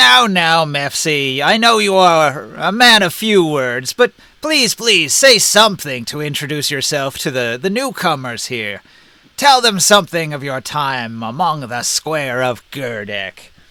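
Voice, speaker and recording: Putting on a character voice, a man speaks at a fairly slow pace with a fairly high pitch and very wide pitch swings. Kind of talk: formal, old-fashioned. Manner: formal, gently coaxing.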